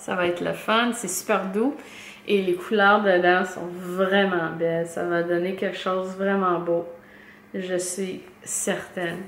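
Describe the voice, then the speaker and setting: A woman's medium-pitched, monotone, flat delivery at a very slow pace, with audible room echo. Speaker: knitting podcaster. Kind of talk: casual podcast monologue. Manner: halting, many fillers and repetitions.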